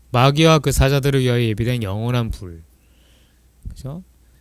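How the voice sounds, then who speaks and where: Very wide pitch swings amid audible room echo. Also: man. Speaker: church teacher. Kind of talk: lecture. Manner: fast.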